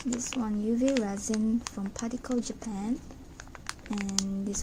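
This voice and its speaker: Amid noticeable background noise, a woman talks at a very slow pace in a fairly high voice with fairly even intonation. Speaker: craft tutorial maker. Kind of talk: craft tutorial narration.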